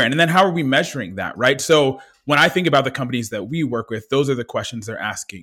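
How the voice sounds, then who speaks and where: Energetic in tone, a man speaks with ordinary pitch variation. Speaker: DEI consulting company founder. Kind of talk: interview.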